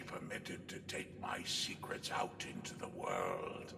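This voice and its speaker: A man whispers in a put-on character voice at a fairly slow pace, with a clear echo and loud background noise. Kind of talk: comic overacting. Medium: machinima. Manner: pompous, long-winded, rambling.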